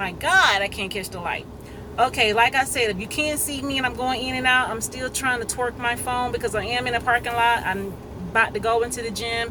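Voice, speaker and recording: Against noticeable background noise, a woman speaks at a fairly quick pace in a high pitch, with ordinary pitch variation. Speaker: vlogger. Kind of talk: casual monologue video. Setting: in a parked car. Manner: fast.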